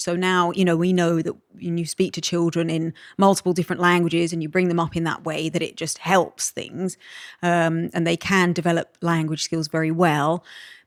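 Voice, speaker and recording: A woman with a British accent and a fairly low voice at a moderate pace, in a very clean recording with a silent background and a dry, close sound free of echo. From Malta. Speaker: podcast guest. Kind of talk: casual chat.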